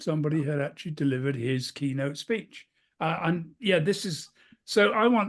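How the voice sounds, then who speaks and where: The speaker has a British accent and a moderate pace. The background is quiet. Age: 70s. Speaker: keynote speaker. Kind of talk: interview.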